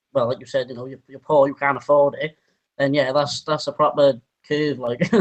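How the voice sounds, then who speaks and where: In a Welsh accent, a man talks at a fairly quick pace with a fairly high pitch, monotone, flat intonation and big swings in loudness. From Wales. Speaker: interviewee. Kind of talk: interview.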